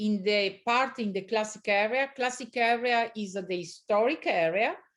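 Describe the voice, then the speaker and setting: Speaking fairly slowly in an Italian accent, a woman uses a medium pitch. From Italy, Veneto (Valpolicella near Verona). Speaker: winery owner. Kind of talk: interview. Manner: halting, many fillers.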